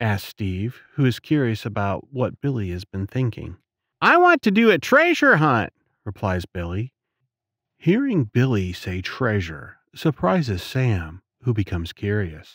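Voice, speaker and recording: A man's ordinary speaking voice at medium pitch and a fairly slow pace, in a dry, close sound with no echo on a very clean recording with a silent background. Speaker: voice actor. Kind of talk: children's audiobook narration.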